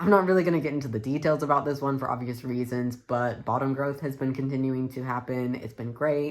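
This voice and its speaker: A man with a plain, everyday voice speaks at a medium pitch with fairly even intonation. His pace is fairly quick, with hardly any pauses. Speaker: vlogger. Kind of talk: casual vlog update. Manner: casual, uses many fillers.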